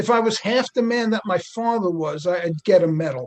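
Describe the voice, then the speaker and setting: A man speaks at a fairly quick pace in a New York accent. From New York City, Queens. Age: 60s. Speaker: retired NBA athletic trainer. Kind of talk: casual interview.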